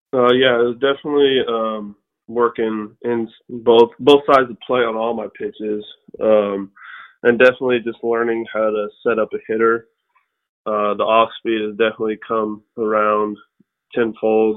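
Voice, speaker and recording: A man with an American accent, medium-pitched, in a flat monotone. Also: moderate pace. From New Mexico, US. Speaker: professional baseball pitcher. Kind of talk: interview.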